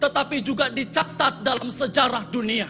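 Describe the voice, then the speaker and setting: Over music in the background, a man speaks with a raised, projected voice in an animated tone at a moderate pace. His pitch is extremely high, with ordinary variation. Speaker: pastor. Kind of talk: sermon. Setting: church.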